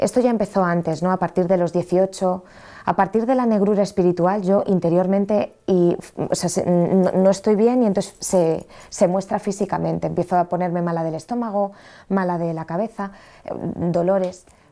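Against a quiet background, a woman with a Madrid accent speaks at a moderate pace with fairly even intonation and a dark, mellow tone. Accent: central Spanish (Madrid). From Madrid, Spain; Spain. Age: 30s. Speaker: train driver sharing faith story; interview guest. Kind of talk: testimony. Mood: earnest personal testimony. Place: studio. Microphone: lapel.

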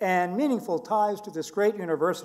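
A man's high voice at a fairly quick pace, with ordinary pitch variation and a quiet background. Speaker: ceremony host or university official. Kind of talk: formal ceremony speech. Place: hall. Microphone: podium.

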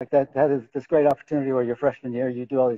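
The man has an American accent. His delivery is monotone and flat. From US South (Georgia). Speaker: lighting and furniture designer. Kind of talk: casual interview conversation. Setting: video call livestream. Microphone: video call.

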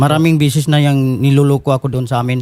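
A man with a fairly high voice talks at a very fast clip, his intonation fairly even. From Bohol, Philippines. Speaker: complainant on a public-service show. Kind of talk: complaint interview.

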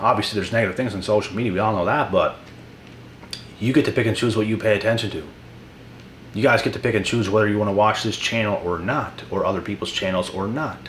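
A man talks at a very fast pace with a fairly low pitch over light background noise. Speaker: motivational YouTuber. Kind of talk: motivational monologue vlog. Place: home room.

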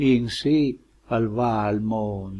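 A man speaks with a Lombard accent. His tone is dark and mellow, somewhat breathy. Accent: Lomellina dialect of Lombardy. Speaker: dialect poet and translator. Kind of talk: poetry reading.

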